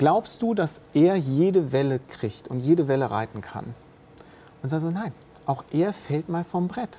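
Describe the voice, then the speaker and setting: Very wide pitch swings stretch across speech that moves at a fairly slow pace. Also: woman, very deep, low pitch for a woman. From bilingual French-German household. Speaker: business leader. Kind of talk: casual interview conversation.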